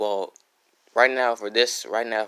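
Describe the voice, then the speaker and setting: Soft-spoken and monotone, a man with a medium pitch talks in a bright, sharp tone with flat intonation. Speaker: YouTuber reading fan stories. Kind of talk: casual livestream intro then reading aloud. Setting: home, at night, live stream. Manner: soft-spoken, keeping quiet at night; halting, many fillers and restarts.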